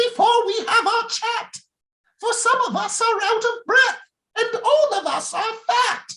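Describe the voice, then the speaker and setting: Putting on a squeaky character voice at an extremely high pitch, a woman talks at a fairly slow pace with fairly even intonation. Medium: read story.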